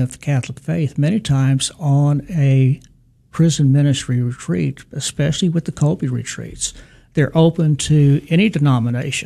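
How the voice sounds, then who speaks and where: Moderate pace, ordinary pitch variation and a somewhat breathy sound. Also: man. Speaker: deacon, prison ministry director. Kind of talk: radio interview. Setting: studio.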